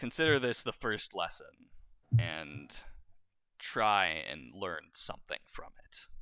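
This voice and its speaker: A man puts on a character voice with a stern tone. His pitch is fairly low, and he speaks at a fairly slow pace. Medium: actual play. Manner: stern, measured.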